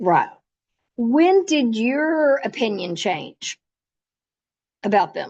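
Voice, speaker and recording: A woman's high-pitched voice with very wide pitch swings and long, frequent pauses. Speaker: volunteer trainer. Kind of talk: training presentation. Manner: fast.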